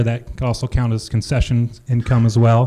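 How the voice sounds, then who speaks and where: The speaker is a man with a dark, mellow tone. His delivery has a moderate tempo. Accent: Midwestern American. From Iowa, Jefferson; Iowa. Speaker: cider maker and orchard farmer; presenter. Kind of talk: conference presentation. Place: hall. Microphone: handheld.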